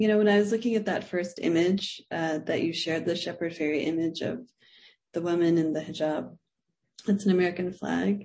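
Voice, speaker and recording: A woman's fairly low-pitched, plain, everyday voice, with fairly even intonation and a fairly quick pace. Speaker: moderator and professor. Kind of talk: moderating Q&A, casual. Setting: online video event.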